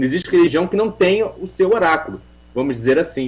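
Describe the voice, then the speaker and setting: A man talks at a very fast pace. His voice sits at a fairly high pitch. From Portugal. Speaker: religious leader and oracle practitioner (Umbanda / Ifá cult). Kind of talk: radio interview answer.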